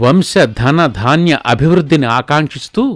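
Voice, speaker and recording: Music plays in the background as a man speaks at a fairly high pitch with lively intonation. The sound is dry and close with no echo. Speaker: wedding commentator. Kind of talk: live wedding commentary promo.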